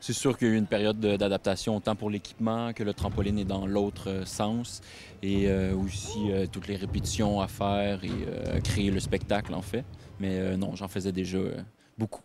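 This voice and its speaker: A man speaks with a Quebec accent at a moderate pace. His fairly low voice stays monotone and flat. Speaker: circus acrobat. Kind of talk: interview. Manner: halting.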